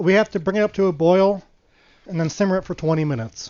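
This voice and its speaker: At a very fast pace, a man talks in a high voice. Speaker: streamer. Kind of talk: casual live stream cooking chat.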